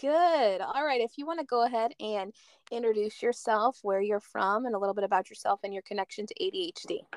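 A woman with an American accent talks at a fairly quick pace, her pitch fairly high and her intonation lively. It is a plain, everyday voice, recorded dry and close with no echo. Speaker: podcast host. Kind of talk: casual interview chat.

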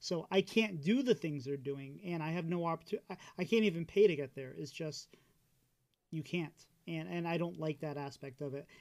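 A man's unremarkable speaking voice sits fairly high in pitch, with ordinary pitch variation. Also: moderate pace. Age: 40s. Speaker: podcast host. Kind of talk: casual chat.

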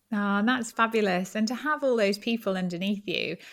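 A woman with an ordinary speaking voice talks at a fairly high pitch with ordinary variation. The recording is very clean, against a silent background. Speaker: podcast host and business coach. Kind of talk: interview conversation.

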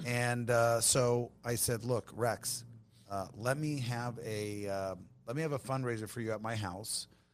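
An unremarkable speaking voice from a man, medium in pitch and fairly slow in pace. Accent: American. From Long Beach, California. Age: 40s. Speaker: tequila brand owner. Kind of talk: casual chat.

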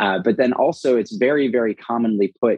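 A man speaks at a medium pitch with a Californian accent. His pace is moderate. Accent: General American (California). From Los Angeles. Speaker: food entrepreneur. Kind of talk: podcast interview.

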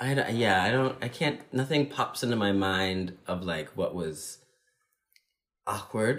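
A man's normal speaking voice with an American accent, fairly low in pitch, with lively intonation at a fairly slow pace. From US Midwest, Illinois (Normal, then Chicago). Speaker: dancer. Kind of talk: casual interview chat.

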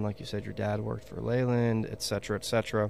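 Using a normal speaking voice, a man with an American accent speaks in a fairly low pitch with fairly even intonation. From Texas. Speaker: podcast host. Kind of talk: casual chat. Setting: video call.

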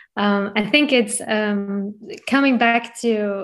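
Noticeable background noise surrounds a woman whose voice is fairly high in pitch. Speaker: coach, podcast co-host. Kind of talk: casual chat.

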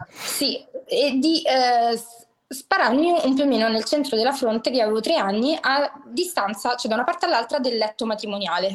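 In a Roman accent, a woman speaks at a moderate pace. Her high-pitched voice has lively intonation. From Rome, Italy (working-class neighbourhood). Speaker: podcast guest. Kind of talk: casual chat.

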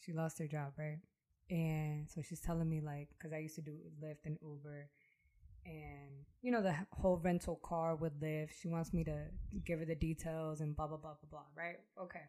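The delivery has a dark, mellow tone, monotone, flat intonation and a moderate pace. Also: woman, very deep, low pitch for a woman. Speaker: podcast guest. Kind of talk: casual chat. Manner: loud.

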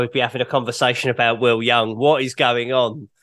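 A man with a British accent delivers his words at a fairly quick pace. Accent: British, sometimes mistaken for Australian. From United Kingdom. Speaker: rock journalist and broadcaster. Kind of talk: casual chat.

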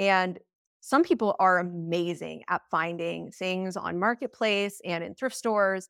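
With an American accent, a woman in an unremarkable speaking voice talks at a fairly slow pace and medium pitch, with ordinary pitch variation, in a very clean recording with a silent background and a dry, close sound with no echo. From US, Colorado (Steamboat Springs). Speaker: interior designer. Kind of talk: interview.

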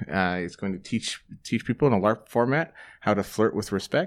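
A man talks at a fairly slow pace in a plain, everyday voice. The recording is very clean, with a silent background. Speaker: tabletop game designer and player. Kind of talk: tabletop role-playing game session. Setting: at a gaming convention.

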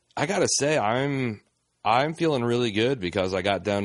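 Over a quiet background, an ordinary speaking voice shows ordinary pitch variation at a moderate pace. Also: man. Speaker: podcast host. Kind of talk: casual banter podcast. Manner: joking, bantering, filler-heavy.

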